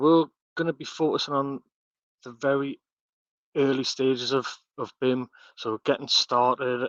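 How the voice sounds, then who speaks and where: A man with a strong northeast English accent, fairly slow and monotone, flat in intonation, over a quiet background with a dry, close sound and no echo. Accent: heavy northeast English. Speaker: architectural technologist and BIM content director. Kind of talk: webinar presentation. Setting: online webinar. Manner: halting, many fillers and repetitions.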